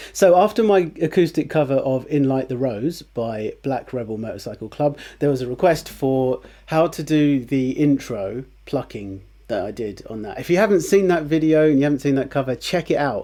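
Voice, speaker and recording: Lively intonation and a dark, mellow tone from a man with a fairly high pitch at a moderate pace, in a very clean recording with a silent background. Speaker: guitar teacher. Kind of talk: tutorial. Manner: casual, with many fillers.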